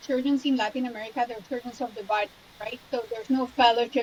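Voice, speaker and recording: This woman has a high voice and a Spanish accent, with fairly even intonation. Noticeable background noise runs behind her. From Colombia, Cali. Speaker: trauma surgeon. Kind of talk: interview.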